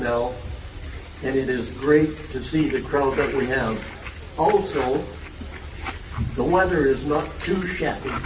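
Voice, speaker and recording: Speech comes at a very slow pace with long, frequent pauses and ordinary pitch variation. Audible room echo and noticeable background noise fill the recording. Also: man. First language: French. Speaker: legion branch leader. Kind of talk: ceremony speech. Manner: halting.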